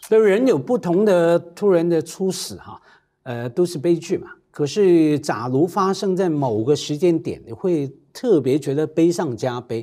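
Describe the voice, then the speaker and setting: Lively intonation moves through a voice with a dark, mellow tone. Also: man, high pitch for a man, fairly slow pace. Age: 50s. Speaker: talk show guest. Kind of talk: casual chat. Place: studio. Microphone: lapel.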